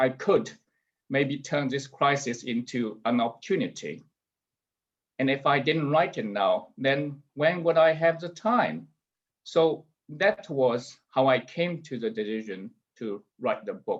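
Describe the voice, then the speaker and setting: A man's fairly high voice in a Chinese accent, with lively intonation at a fairly slow pace. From rural China. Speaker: author and businessman. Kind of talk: book launch talk.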